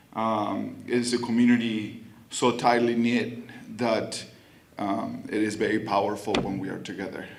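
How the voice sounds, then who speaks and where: Here a man speaks with a Spanish accent at a medium pitch. His pace is fairly slow, and room echo is audible. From Argentina. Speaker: city council member. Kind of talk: public speech. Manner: halting, many fillers.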